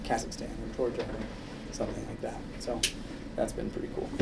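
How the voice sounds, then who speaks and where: Very fast, mumbling speech from a man, with audible room echo and noticeable background noise. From Minnesota, US Midwest. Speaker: orthopedic surgeon. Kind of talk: public talk. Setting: audience in a room. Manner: quiet.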